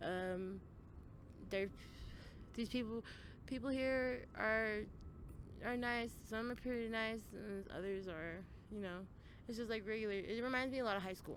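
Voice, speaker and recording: Audible room echo surrounds speech that keeps a moderate pace and ordinary pitch variation. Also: woman. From Colorado. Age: young. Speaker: person experiencing homelessness. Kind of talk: interview. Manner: halting.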